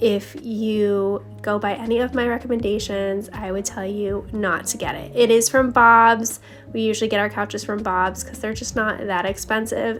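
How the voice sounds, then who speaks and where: Over music in the background, the speaker keeps a moderate pace with fairly even intonation and hardly any pauses. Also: woman. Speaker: homemaking vlogger. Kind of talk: voice-over narration. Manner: casual, chatty.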